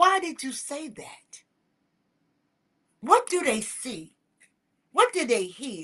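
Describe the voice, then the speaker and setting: Raising and projecting her voice, a woman speaks with a bright, sharp tone at a high pitch, with very wide pitch swings, big swings in loudness, long, frequent pauses and a very slow pace. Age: 60s. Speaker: talk show host. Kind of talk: motivational talk. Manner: impassioned.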